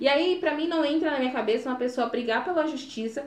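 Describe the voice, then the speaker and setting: The speech comes at a very fast pace with ordinary pitch variation and audible room echo. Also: woman. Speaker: podcast co-host. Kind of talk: casual chat.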